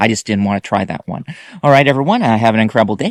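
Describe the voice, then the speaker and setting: Recorded very cleanly against a silent background, a man speaks at a medium pitch with ordinary variation, the sound dry and close with no echo. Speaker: food and movie reviewer. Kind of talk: product review vlog. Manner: halting.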